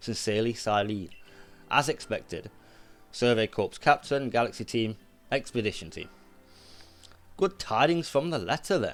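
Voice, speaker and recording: Music plays in the background as a man speaks in a British accent at a moderate pace. His medium-pitched voice has lively intonation, broken by long, frequent pauses. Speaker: gaming YouTuber. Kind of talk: let's play commentary, reading game dialogue aloud. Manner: stumbling over words while reading.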